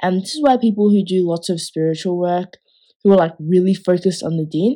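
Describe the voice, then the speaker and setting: On a very clean recording with a silent background, a woman talks at a moderate pace in a medium-pitched voice with a dark, mellow tone. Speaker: podcast host. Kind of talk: casual chat.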